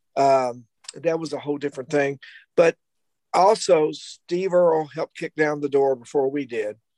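In a Kentucky accent, the voice has a dark, mellow tone and a dry, close sound with no echo. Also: man, fairly high pitch for a man, ordinary pitch variation, moderate pace. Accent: Kentucky Southern US. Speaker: rock guitarist. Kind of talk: casual panel chat.

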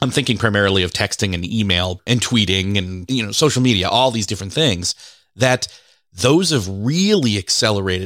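In a very clean recording with a silent background, a man with an unremarkable speaking voice talks at a fairly quick pace, his pitch fairly low and its variation ordinary. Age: 40s. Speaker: podcast host. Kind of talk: casual interview.

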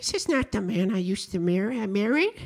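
Using a put-on character voice, a female-sounding speaker talks at medium pitch and a fairly quick pace. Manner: mocking imitation.

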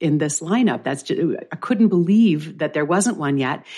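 Lively intonation marks a woman's moderately paced speech, captured on a very clean recording against a silent background. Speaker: nutrition podcast host. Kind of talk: casual chat. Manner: relaxed.

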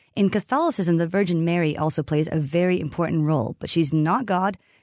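A woman speaks at a fairly quick pace with an American accent, in an ordinary speaking voice. Her pitch is fairly low with ordinary variation, and the background is quiet. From Massachusetts, US. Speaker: tour guide and saints scholar. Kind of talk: interview.

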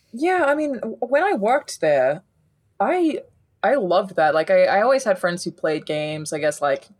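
A woman speaks with an Australian accent. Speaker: gaming journalist. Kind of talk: casual chat.

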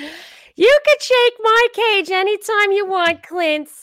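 A woman puts on a squeaky character voice at an extremely high pitch, with lively intonation and a very slow pace. The sound is dry and close, with no echo. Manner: flirty, teasing.

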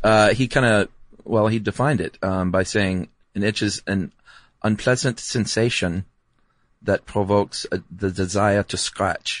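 This man talks at a fairly slow pace with fairly even intonation and an ordinary speaking voice, pitched fairly low. The background is quiet, and the sound is dry and close with no echo. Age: 40s. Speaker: podcast co-host. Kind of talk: casual chat.

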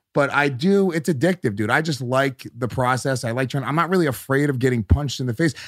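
A man at a medium pitch with ordinary pitch variation, talking at a very fast pace with hardly any pauses, in a very clean, dry, close recording with no echo and a silent background. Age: 30s. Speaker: comedian. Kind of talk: casual chat.

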